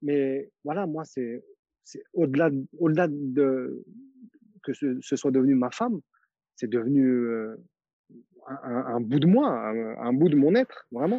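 At a very slow pace with long, frequent pauses, a man talks in a fairly high pitch with ordinary pitch variation. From France, grew up in a housing estate, Turkish family. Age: 40s. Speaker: dancer and photographer. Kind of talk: interview, casual chat.

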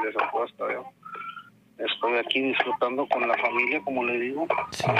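A man's monotone, flat delivery at a moderate pace over noticeable background noise. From Tamaulipas, northern Mexico. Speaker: caller sharing paranormal experiences. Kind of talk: testimony. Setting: phone call. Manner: halting.

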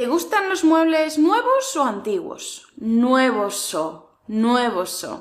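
Her pitch swings very widely as she talks. The woman's pace is very slow. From Spain, Murcia region (village). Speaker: Spanish teacher. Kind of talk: tutorial. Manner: clear, careful articulation.

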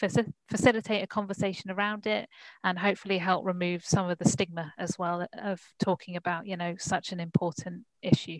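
In a normal speaking voice, a woman talks at a fairly quick pace and medium pitch, the sound dry and close with no echo. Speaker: co-living researcher. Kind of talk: audience question. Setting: video call.

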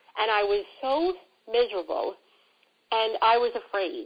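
With a strong New York accent, a woman speaks at a fairly high pitch with lively intonation. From New York City. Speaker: career coach. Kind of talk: casual interview conversation.

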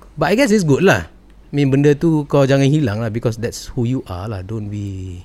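Hardly pausing, a man at medium pitch and a moderate pace makes very wide pitch swings and big swings in loudness. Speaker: podcast host. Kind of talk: casual interview chat.

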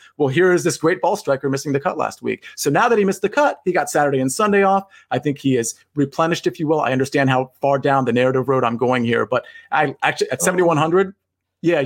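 An unremarkable speaking voice, this man's fairly high pitch shows ordinary pitch variation and very even loudness. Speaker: podcast co-host, sports betting analyst.

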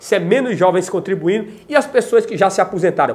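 A man with a Brazilian accent and very wide pitch swings. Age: 40s. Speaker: YouTuber. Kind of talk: video monologue on politics.

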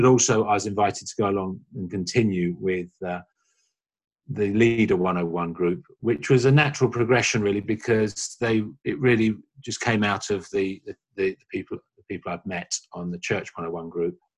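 The speaker has a London accent. Loudness swings widely. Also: man. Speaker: church small-group leader. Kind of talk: interview.

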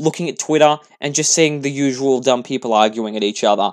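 A man talks with an Australian accent at a fairly quick pace. His pitch swings very widely. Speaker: podcast host. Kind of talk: solo political commentary podcast. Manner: fast.

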